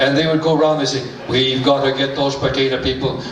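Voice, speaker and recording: Noticeable background noise runs behind a man whose pace is fairly quick. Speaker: storyteller. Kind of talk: humorous folk tale storytelling. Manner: playful, comic, animated.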